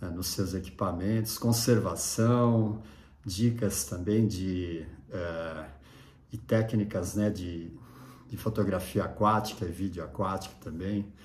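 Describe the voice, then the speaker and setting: With a relaxed, somewhat breathy tone and fairly low pitch, a man talks at a very slow pace with ordinary pitch variation and audible room echo. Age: 60s. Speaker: surf photographer and YouTuber. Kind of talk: casual vlog monologue. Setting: at home. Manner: relaxed, with many fillers and hesitations.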